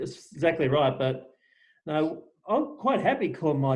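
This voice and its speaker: A man with an Australian accent speaks at a moderate pace in a somewhat breathy voice. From Western Australia, small town south of Perth. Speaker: podcast host. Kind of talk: casual interview chat.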